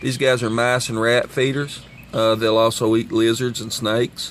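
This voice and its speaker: A man with a strong Kentucky accent talks at a moderate pace and a medium pitch. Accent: thick Kentucky. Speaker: nature video presenter. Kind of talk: outdoor wildlife demonstration. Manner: casual with many fillers.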